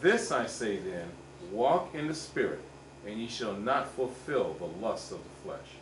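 Over light background noise and audible room echo, a woman's very deep, low voice makes very wide pitch swings. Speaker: church member. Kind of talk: reading aloud. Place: church. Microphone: camera far.

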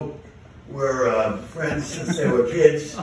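A man talks with ordinary pitch variation. Strong room echo surrounds him, along with light background noise. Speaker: amateur comedian. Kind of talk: stand-up joke telling to a live audience. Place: stage. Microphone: pa.

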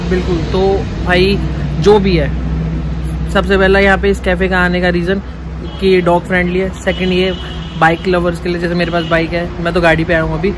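Noticeable background noise sits under a man talking at a moderate pace. He takes long, frequent pauses. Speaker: food vlogger. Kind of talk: casual vlog chat. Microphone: phone near.

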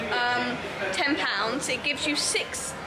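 Clear music in the background beneath a woman's voice. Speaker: vlogger. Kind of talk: casual vlog chat. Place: shop. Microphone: phone near.

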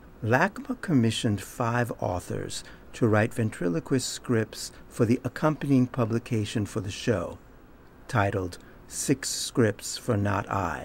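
A man speaks at a fairly slow pace in a somewhat breathy voice with ordinary pitch variation. Light background noise is present. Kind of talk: introduction to a performance. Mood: calm, warm, measured. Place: hall.

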